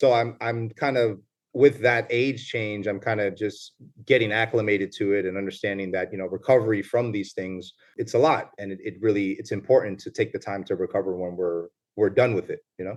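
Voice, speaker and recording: This man has a New York accent and a fairly low pitch. He moves at a fairly quick pace with fairly even intonation. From New York, the Bronx. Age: 30s. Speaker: lawyer, retired police officer. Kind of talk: casual interview chat. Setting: video call.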